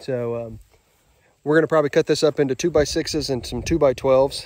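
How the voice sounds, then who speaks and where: A man speaks with fairly even intonation at a moderate pace. The sound is dry, with no echo. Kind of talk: casual vlog chat. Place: open country. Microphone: phone near.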